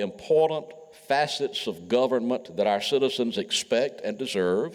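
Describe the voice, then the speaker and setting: A man speaks at a medium pitch. He has a Mississippi accent. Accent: US Southern (Mississippi). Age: 70s. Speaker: retired politician. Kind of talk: speech. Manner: formal.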